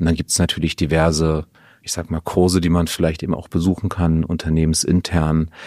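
Speaking at a fairly quick pace, a man with a very deep, low voice and a dark, mellow tone keeps a monotone, flat intonation. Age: 40s. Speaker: finance team leader. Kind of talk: casual chat. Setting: kitchen.

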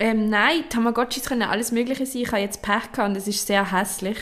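Over noticeable background noise, a woman speaks at a very fast pace and a fairly high pitch. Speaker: podcast co-host. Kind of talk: casual chat. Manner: animated, laughing.

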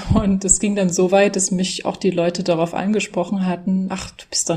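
A woman's medium-pitched voice at a moderate pace, fairly even in intonation, over noticeable background noise. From Saxony, Germany (Dresden). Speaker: German language teacher. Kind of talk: interview.

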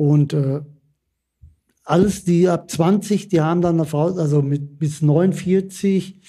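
Speaking very slowly with long, frequent pauses, a man uses a high pitch and a dark, mellow tone, keeping his intonation fairly even and his loudness very even. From Bottrop, Ruhr area. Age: 60s. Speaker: retired coal miner. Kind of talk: interview.

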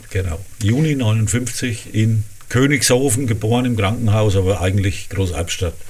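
With a Franconian accent, a man speaks at a moderate pace in a fairly low, somewhat breathy voice with ordinary pitch variation and very even loudness, and audible room echo surrounds him. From Lower Franconia, Rhön-Grabfeld. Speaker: cabaret artist and dialect author. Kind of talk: casual interview.

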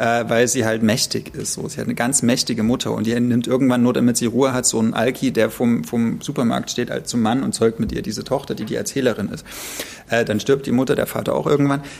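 A man talks at a very fast clip, his pitch sitting at a medium level with fairly even intonation. Noticeable background noise runs underneath. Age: 30s. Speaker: podcast co-host. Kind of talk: casual chat about books.

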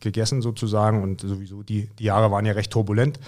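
The intonation is monotone and flat. A man delivers it at a moderate pace. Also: very clean recording, silent background. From Mecklenburg-Vorpommern, eastern Germany. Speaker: American football coach. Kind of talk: casual interview.

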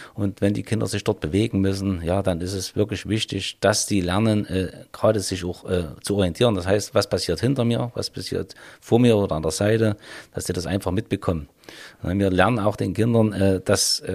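In a plain, everyday voice, a man speaks at a moderate pace with fairly low pitch and fairly even intonation. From Vogtland, Saxony. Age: 50s. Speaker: police officer. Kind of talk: interview.

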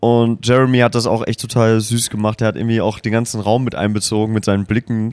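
Speaking at a very fast pace with hardly any pauses, a man holds very even loudness and a monotone, flat intonation at medium pitch. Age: 30s. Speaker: music podcast host. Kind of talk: casual chat. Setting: at a music festival.

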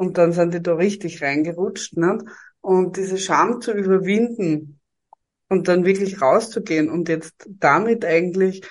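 With a Styrian accent, a woman speaks fairly slowly at a fairly low pitch and with fairly even intonation. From Styria, Austria. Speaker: HR professional and podcaster. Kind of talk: interview.

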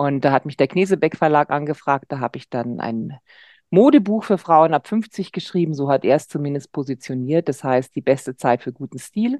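A woman with a very deep, low pitch and a dark, mellow tone speaks at a moderate pace with lively intonation. The sound is dry and close with no echo, over a quiet background. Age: 50s. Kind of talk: casual chat.

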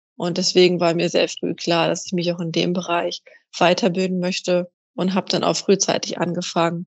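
Monotone, flat delivery at a moderate pace from a woman with a fairly low pitch. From northern Germany, Kiel. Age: 20s. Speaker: personal trainer and athletic coach. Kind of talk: interview.

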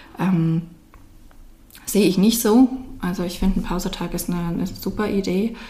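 The tone is dark and mellow, a little breathy, with fairly even intonation. Delivery runs at a moderate pace, broken by long, frequent pauses. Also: woman, medium pitch for a woman. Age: 30s. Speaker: social worker and daycare consultant. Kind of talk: interview.

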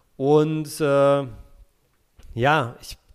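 The speaker is a man with a medium-pitched voice. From Berlin, Germany. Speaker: football podcast co-host. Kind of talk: casual chat.

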